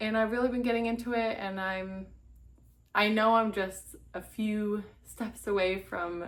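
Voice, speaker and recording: A woman speaks with an American accent at a medium pitch. Her intonation is fairly even and her pace moderate. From Massachusetts. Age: 20s. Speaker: crafter vlogger. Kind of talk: casual vlog.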